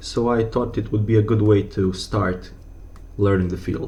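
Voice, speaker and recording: With a non-native accent, a man speaks at a moderate pace in a fairly low pitch, with audible room echo around him. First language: not English. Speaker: educational YouTuber. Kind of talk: tutorial. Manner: halting, with fillers.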